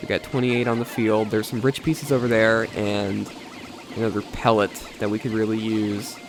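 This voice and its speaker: Noticeable background noise sits behind a man talking at a fairly quick pace. His medium-pitched voice stays monotone and flat. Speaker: gaming youtuber. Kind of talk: let's play commentary. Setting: post-recorded voiceover.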